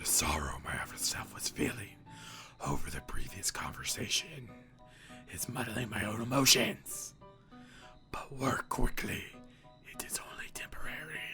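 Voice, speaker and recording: A man whispers in a put-on character voice. Clear music plays in the background. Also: moderate pace. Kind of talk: growling villain voice. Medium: game stream. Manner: curt, formal, menacing.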